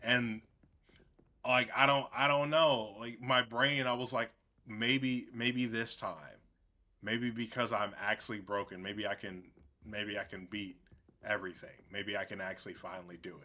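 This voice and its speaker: A man speaks loudly in a bright, sharp, animated tone, leaving long, frequent pauses. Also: medium pitch for a man, ordinary pitch variation, moderate pace. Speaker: gaming streamer. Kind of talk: casual gameplay commentary. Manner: animated, gets loud.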